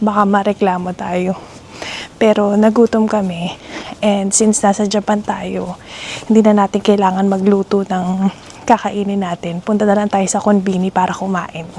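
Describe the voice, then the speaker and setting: Soft-spoken and monotone, a woman talks at a moderate pace in a medium pitch with flat intonation. There is noticeable background noise. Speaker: vlogger. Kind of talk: travel vlog narration. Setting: outdoors at night, then in a convenience store. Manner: soft-spoken, lowered voice.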